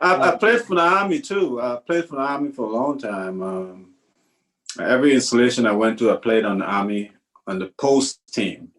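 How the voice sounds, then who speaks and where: With a Trinidadian accent, a man speaks at a moderate pace, his pitch swinging very widely. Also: medium pitch for a man. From Trinidad and Tobago. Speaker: retired army first sergeant, veteran. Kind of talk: oral history interview. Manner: halting, repeats words.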